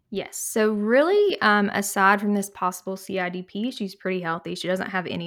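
Using an ordinary speaking voice, a woman speaks at a fairly quick pace. Her medium pitch carries fairly even intonation. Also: hardly any pauses. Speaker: pulmonary and critical care fellow. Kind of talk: casual medical podcast discussion.

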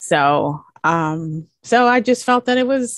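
Against a quiet background, with a dry, close sound and no echo, a woman talks in an unremarkable speaking voice, fairly high in pitch and lively in intonation. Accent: American. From US Virgin Islands. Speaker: interior designer. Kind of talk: casual interview chat.

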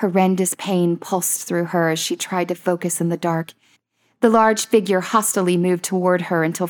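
Against a quiet background, someone is reading aloud in a natural voice with fairly even intonation.

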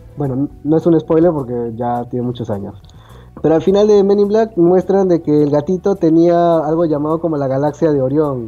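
A man speaks in a fairly high voice with lively intonation. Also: moderate pace. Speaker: podcast co-host. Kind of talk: casual chat. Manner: serious-sounding.

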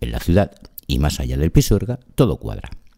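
At a moderate pace, a man with a dark, mellow tone speaks with very wide pitch swings. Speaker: radio host. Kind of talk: radio presenting.

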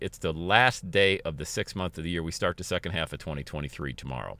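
Over a very clean recording with a silent background, a man talks very fast in an energetic, bright, sharp tone with vocal fry. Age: 50s. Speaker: motivational podcast host and coach. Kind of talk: motivational monologue. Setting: in a car.

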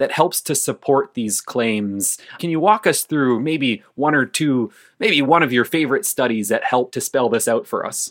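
A man's fairly high voice, a plain, everyday voice with lively intonation at a moderate pace. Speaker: podcast host. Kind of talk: interview. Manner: casual, jokey.

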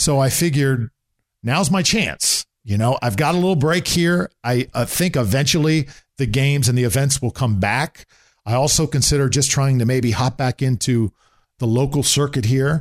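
A man with an ordinary speaking voice talks at a moderate pace in a medium pitch, with ordinary pitch variation and very even loudness. The very clean recording has a silent background and a dry, close sound with no echo. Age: 40s. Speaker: sports play-by-play broadcaster. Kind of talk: casual interview. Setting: in his home condo.

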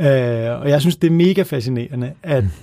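Fairly high-pitched male speech, its pitch varying in an ordinary way. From Copenhagen, Denmark. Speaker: author. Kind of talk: casual chat. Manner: halting.

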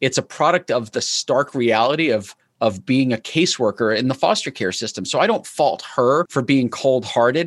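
A man with an ordinary speaking voice talks at a moderate pace and medium pitch with lively intonation and hardly any pauses, the sound dry and close with no echo. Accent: American. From New York. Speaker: entrepreneur. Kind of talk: interview.

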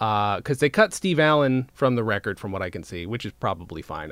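The man's delivery is very fast. His intonation rises and falls in a lively way. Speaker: podcast host. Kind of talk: casual chat. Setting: video call.

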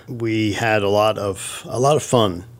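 Amid noticeable background noise, a man speaks at a fairly low pitch with fairly even intonation. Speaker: pastor. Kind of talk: casual chat.

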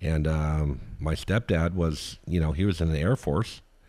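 The man has a very deep, low pitch. His pitch variation is ordinary. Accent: American. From US, southern Oregon. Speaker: local business owner. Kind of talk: casual chat. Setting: home garage.

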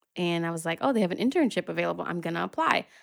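In an American accent, a woman speaks at fairly low pitch. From Philadelphia. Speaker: magazine founder and editor. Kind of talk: casual interview.

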